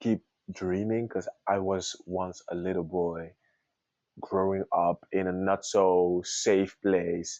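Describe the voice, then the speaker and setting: A man with a French accent and monotone, flat intonation. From Congo. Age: 20s. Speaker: singer. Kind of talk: interview.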